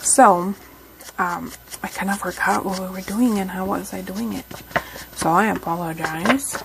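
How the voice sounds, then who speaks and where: Soft-spoken, a woman talks at a moderate pace with medium pitch and ordinary pitch variation. Noticeable background noise can be heard. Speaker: crafting YouTuber. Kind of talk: craft tutorial. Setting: home craft room. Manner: halting.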